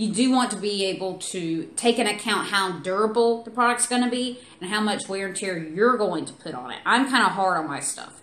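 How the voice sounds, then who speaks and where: A woman with a Southern US accent and medium pitch, at a fairly quick pace with ordinary pitch variation and big swings in loudness, over noticeable background noise. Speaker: beauty product reviewer. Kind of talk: product review. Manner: casual, chatty.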